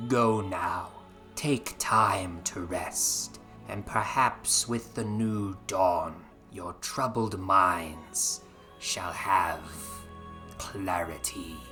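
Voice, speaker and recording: Over clear music in the background, a man puts on a character voice with a fairly low pitch at a very slow pace. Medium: read story. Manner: smooth, insinuating.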